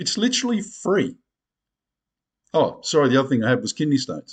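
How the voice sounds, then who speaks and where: With very wide pitch swings and vocal fry, a man talks at a fairly quick pace. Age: 60s. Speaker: video blogger. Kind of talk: casual monologue to camera. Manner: animated.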